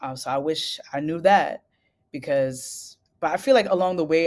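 A woman with a New York accent, very deep and low pitch, ordinary pitch variation, and a moderate pace. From US Northeast, Brooklyn, New York. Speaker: singer-songwriter. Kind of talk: interview.

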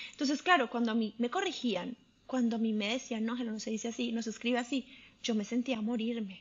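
Fairly high in pitch with ordinary variation, a woman talks at a fairly quick pace in an unremarkable speaking voice. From Colombia. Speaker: chemical engineer, immigrant. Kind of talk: interview.

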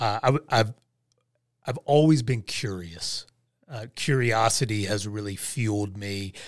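In a very clean recording with a silent background, a man with a fairly low pitch and a normal speaking voice talks at a fairly slow pace with ordinary pitch variation. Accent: American. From West Virginia / Southern Ohio. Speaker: life and leadership coach, former pastor. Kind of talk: casual interview.

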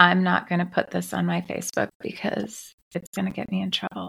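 A woman whispers in a raspy, put-on character voice at a fairly quick pace. The sound is dry and close, with no echo. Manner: whispering.

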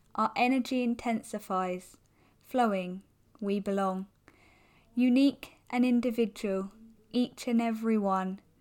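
With a fairly high pitch and a warm tone, a woman talks at a very slow pace. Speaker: hypnotherapist and coach. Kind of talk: poem read aloud, spoken word. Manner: rhythmic, rhyming, measured delivery; warm, uplifting, earnest.

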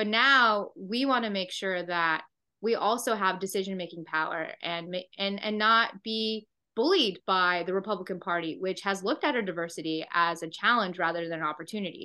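A woman's voice at medium pitch with ordinary pitch variation, an ordinary speaking voice. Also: moderate pace. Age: 30s. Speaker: state senator. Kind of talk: interview.

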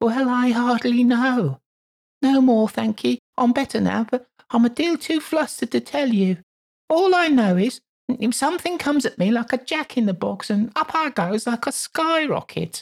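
The speaker uses a squeaky, put-on character voice at a moderate pace. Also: man, extremely high pitch for a man.

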